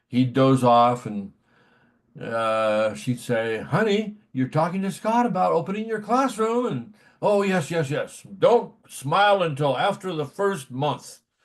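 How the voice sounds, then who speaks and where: With an American accent, a man speaks in a fairly high pitch with very wide pitch swings. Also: fairly slow pace. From California (San Diego). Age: 70s. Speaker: retired teacher and sports writer. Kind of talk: interview storytelling. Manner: relaxed with frequent fillers.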